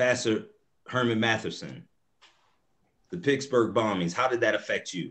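Animated in tone, a man speaks at a moderate pace with ordinary pitch variation and long, frequent pauses. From US South. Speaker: moderator, nonprofit executive director; moderator. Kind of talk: panel discussion moderation. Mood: earnest, engaged. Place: home room. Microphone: video call.

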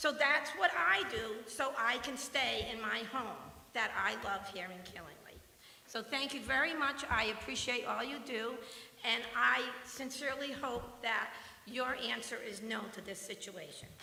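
Over noticeable background noise and audible room echo, a woman with a fairly high pitch talks at a fairly slow pace with ordinary pitch variation and big swings in loudness. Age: 60s. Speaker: retired resident speaking at public comment. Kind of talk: public comment at town meeting. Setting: town planning commission meeting.

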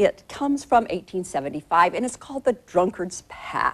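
The voice has vocal fry and very wide pitch swings at a moderate pace. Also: woman. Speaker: cooking show host. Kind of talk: TV presenter talk to camera. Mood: warm, animated. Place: studio. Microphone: lapel.

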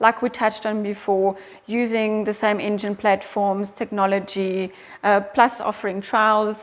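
With a German accent, a woman is talking. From Austria. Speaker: motorcycle company managing director. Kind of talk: interview. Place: office. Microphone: lapel.

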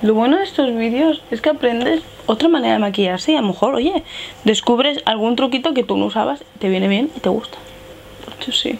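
Light background noise sits behind a woman's high voice. She speaks at a fairly quick pace with lively intonation. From Spain. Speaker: beauty youtuber. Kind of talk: makeup tutorial. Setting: home filming setup with ring light. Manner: casual, chatty. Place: home room. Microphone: lapel.

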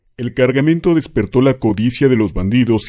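A man's dark, mellow tone at medium pitch, with ordinary pitch variation. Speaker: horror legend narrator. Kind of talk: scripted ghost story narration.

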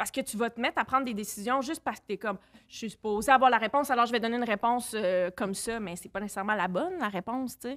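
A woman talks at a very fast pace and a fairly high pitch, with ordinary pitch variation and big swings in loudness, against a quiet background. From Quebec City; Quebec. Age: 30s. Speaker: film director; podcast guest. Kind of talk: casual chat. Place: studio. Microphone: studio mic.

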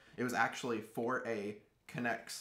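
At a moderate pace, a man talks in an ordinary speaking voice with fairly even intonation. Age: 20s. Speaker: Lego builder. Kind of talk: casual interview. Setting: studio.

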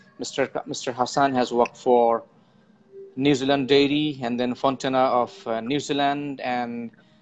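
Faint music plays in the background while a man speaks at a fairly slow pace. His intonation is monotone and flat. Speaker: interview host. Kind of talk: show introduction. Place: home room. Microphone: earbuds.

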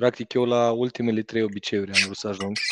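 An ordinary speaking voice with fairly even intonation comes through dry, with no echo, over a quiet background. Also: man. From Romania. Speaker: entrepreneur, driving school co-owner; guest. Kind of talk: casual chat. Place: office. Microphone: headset.

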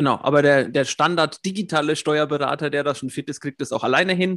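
In a normal speaking voice, a man talks at a moderate pace with fairly high pitch and fairly even intonation, the sound dry and close with no echo over a quiet background. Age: 40s. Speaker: system administrator and YouTube coach. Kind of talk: interview.

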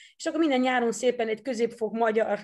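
A woman speaks at a high pitch with a Dutch accent against a quiet background. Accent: Dutch-accented Hungarian. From Netherlands. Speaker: former judo athlete and coach. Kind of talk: interview. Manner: halting, repeats words.

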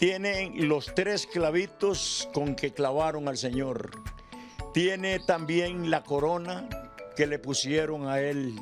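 Clear background music under a man's fairly high voice, very slow pace and ordinary pitch variation. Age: 70s. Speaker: dental technician and poetry reciter. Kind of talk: casual talk in an interview answer. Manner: hesitant, halting, with repetitions. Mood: warm, expressive storytelling.

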